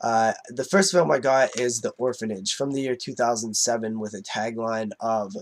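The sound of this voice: At a moderate pace, a man speaks at a medium pitch with a nasal sound and ordinary pitch variation.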